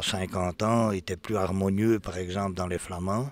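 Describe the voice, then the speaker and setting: Speaking with a very deep, low pitch, a man keeps his intonation fairly even. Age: 60s. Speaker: draft horse breeder and show judge. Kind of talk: interview. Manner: hesitant, many fillers.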